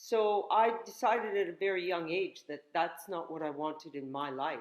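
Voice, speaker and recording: With a Canadian accent, a woman uses an ordinary speaking voice at a fairly low pitch, a moderate pace and lively intonation. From northern Canada. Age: 60s. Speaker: yoga instructor and health teacher. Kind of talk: casual interview chat.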